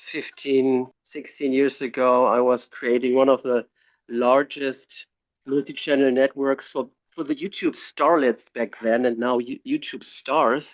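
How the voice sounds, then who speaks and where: In a German accent, a man speaks at a medium pitch in a flat monotone. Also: fairly slow pace. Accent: noticeable German. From Germany. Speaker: tech entrepreneur and CEO. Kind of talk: interview.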